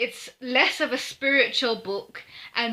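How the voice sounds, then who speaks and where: Loud and very slow, a woman speaks at a high pitch with a bright, sharp tone in a very clean recording with a silent background. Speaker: book reviewer. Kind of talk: casual video review. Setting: home office. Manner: loud, projecting; hesitant, many fillers. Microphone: poor sound quality.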